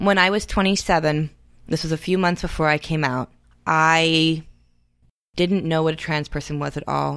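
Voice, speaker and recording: A woman with a very deep, low pitch speaks in a monotone, flat way. The recording is very clean, with a silent background. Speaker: non-binary community educator. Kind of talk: interview conversation.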